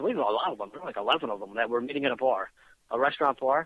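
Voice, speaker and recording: With lively intonation, a man speaks at a very fast pace. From Philadelphia, US. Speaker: paranormal podcast guest, activist. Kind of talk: casual chat. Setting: internet radio show. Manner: stutter; animated.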